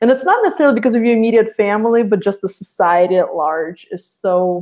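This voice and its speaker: A woman speaks with a Russian accent at a fairly quick pace. Her pitch is fairly high, with ordinary variation. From Russia (Saint Petersburg). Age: 30s. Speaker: guest. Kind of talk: casual chat.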